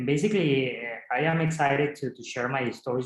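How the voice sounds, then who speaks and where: Talking at a very fast pace, a man with a Spanish accent keeps his intonation fairly even. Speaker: film director. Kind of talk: interview. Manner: halting, many repetitions.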